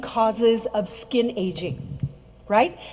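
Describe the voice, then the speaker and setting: An animated woman's voice over noticeable background noise. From French-speaking background. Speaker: skincare trainer. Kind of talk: presentation to an audience.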